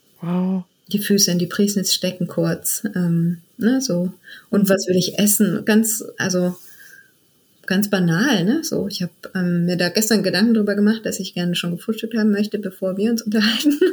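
The speaker talks at a moderate pace. The voice is somewhat breathy, with ordinary pitch variation. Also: woman, medium pitch for a woman. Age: 40s. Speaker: midwife turned funeral director. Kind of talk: interview conversation.

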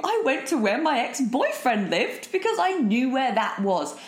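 The speaker has a British accent and a fairly slow pace. Very wide pitch swings run through the clip amid noticeable background noise. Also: woman. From southern England, Eastbourne. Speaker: podcast host. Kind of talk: solo monologue. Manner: animated.

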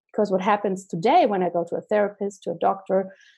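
A woman speaks at a moderate pace with a German accent. Her tone is dark and mellow, and the background is quiet. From Germany. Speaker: holistic doctor. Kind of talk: interview.

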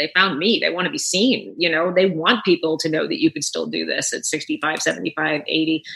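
Noticeable background noise runs throughout. Over it, a woman talks. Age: 60s. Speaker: actress, director and writer. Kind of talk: casual interview.

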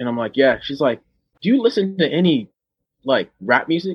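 A man with an American accent, talking at a moderate pace with lively intonation. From Oceanside, California. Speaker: marine veteran and rapper. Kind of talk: casual interview chat.

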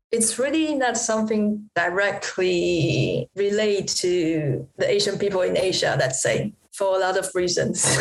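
A woman speaks at a fairly slow pace with a Chinese accent. Her pitch sits in the medium range. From Taiwan. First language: Mandarin Chinese. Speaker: artist. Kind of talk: casual interview conversation. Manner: halting, many fillers.

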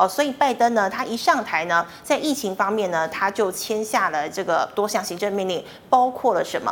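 Noticeable background noise beneath speech with lively intonation. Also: woman. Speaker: financial news show host. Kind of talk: news reading.

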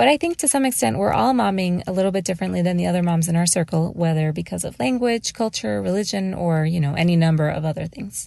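A woman with a dark, mellow tone and fairly low pitch speaks very fast, her pitch swinging very widely. The background is quiet. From Mexico. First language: Spanish. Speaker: small business owner. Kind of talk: prepared monologue.

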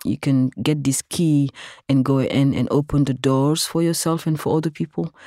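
Recorded very cleanly with a silent background and a dry, close sound with no echo, a woman speaks at a moderate pace in a very deep, low, dark and mellow voice with fairly even intonation. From Senegal. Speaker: technologist and activist. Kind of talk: interview.

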